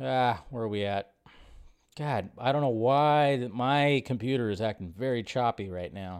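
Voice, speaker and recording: A man's voice, an ordinary speaking voice, at a medium pitch and moderate pace with ordinary pitch variation. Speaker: live stream host. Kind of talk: live stream chat with viewers. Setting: live stream to online audience. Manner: casual, chatty, upbeat.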